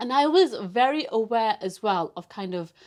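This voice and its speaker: The speaker has a Yorkshire accent and lively intonation. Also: woman. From northern England, Bradford. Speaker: broadcast journalist. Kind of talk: casual interview chat. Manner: animated.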